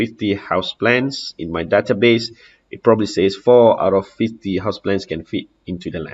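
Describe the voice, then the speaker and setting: A man talks in a fairly low pitch at a moderate pace. His intonation stays fairly even. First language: Malay. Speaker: house contractor. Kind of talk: software demo walkthrough. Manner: halting, many fillers.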